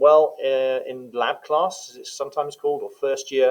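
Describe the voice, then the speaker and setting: A man speaks in a London accent. His pace is moderate. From England, London. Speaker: teacher. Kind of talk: informational talk. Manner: hesitant, many fillers.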